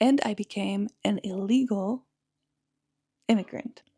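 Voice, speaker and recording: Speaking fairly slowly with a strong Czech accent, a woman has a medium pitch, ordinary pitch variation and a dark, mellow, somewhat breathy tone, recorded dry and close with no echo. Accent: Czech English accent, thick. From Czech Republic. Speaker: podcaster. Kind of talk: personal storytelling monologue.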